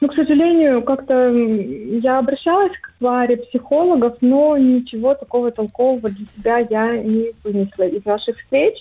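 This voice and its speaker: At a moderate pace, a woman speaks in a high pitch with ordinary pitch variation and hardly any pauses. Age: 30s. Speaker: caller. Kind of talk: phone-in consultation.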